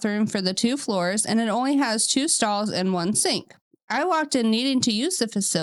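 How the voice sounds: Quiet surroundings behind a natural reading voice.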